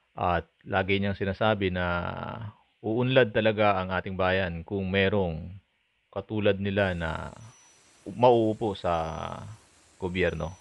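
At a very slow pace with long, frequent pauses, a man speaks at fairly low pitch with fairly even intonation. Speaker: vlogger news commenter. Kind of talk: news reading vlog narration.

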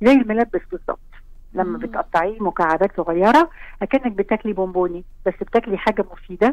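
A woman speaks with lively intonation at a moderate pace. The sound is dry with no echo. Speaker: caller. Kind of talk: interview answer. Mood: enthusiastic, warm. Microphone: phone line.

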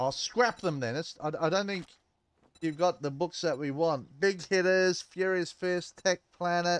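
A man speaks in a high pitch at a fairly slow pace, with ordinary pitch variation. The background is quiet. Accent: Australian. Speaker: gaming streamer. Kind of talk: live gameplay commentary. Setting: live stream. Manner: casual, rambling with fillers.

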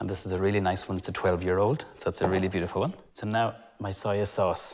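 Against a quiet background, a man talks at a fairly quick pace in an ordinary speaking voice. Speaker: TV chef host. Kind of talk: cooking show tutorial. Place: kitchen. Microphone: lapel.

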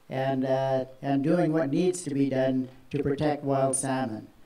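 A man talks at a fairly slow pace, his voice carrying audible room echo. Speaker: speaker. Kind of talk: public speech. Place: stage.

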